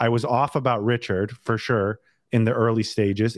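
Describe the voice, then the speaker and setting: A man with an American accent speaks in a plain, everyday voice with fairly even intonation. The sound is dry and close with no echo, over a quiet background. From Northern California. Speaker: podcast host. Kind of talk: casual interview chat.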